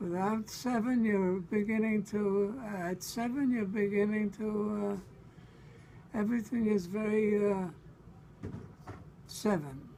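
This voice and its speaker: Spoken with a New York accent, the words come at a very slow pace with fairly even intonation. Long, frequent pauses break up the speech. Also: man, high pitch for a man. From Brooklyn, New York. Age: 80s+. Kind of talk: interview answer. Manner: halting, hesitant.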